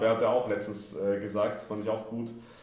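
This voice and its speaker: A man's fairly low voice at a moderate pace, fairly even intonation, with audible room echo. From Austria, Vienna. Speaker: football club press officer. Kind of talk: interview. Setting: large room at training camp. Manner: relaxed.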